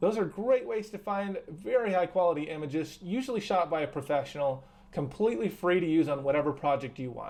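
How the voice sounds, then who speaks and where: Pitched high, a man talks with ordinary pitch variation. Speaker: high school teacher. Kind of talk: tutorial. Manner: fast; animated.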